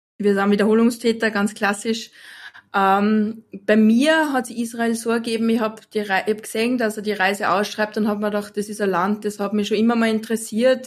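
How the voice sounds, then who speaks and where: A woman with an Austrian accent speaks in a monotone, flat intonation. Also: moderate pace. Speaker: photographer. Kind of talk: interview.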